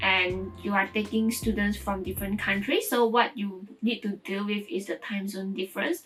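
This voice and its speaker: A woman's medium-pitched voice with a Mandarin accent, ordinary pitch variation and hardly any pauses, over music in the background. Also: moderate pace. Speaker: vlogger and online language tutor. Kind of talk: casual vlog talk to camera. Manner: conversational with fillers and false starts.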